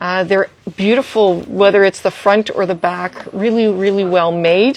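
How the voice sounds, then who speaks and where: This woman's pitch varies in an ordinary way, and noticeable noise can be heard behind her. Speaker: art supply store staff. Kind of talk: product showcase livestream. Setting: Instagram livestream. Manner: fast.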